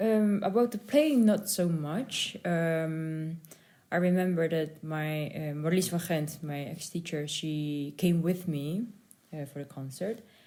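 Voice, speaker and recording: With a Dutch accent, a woman speaks at a very slow pace in a fairly low pitch. Her tone is dark and mellow, with ordinary pitch variation. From Netherlands. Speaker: concert pianist. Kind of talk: interview. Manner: halting.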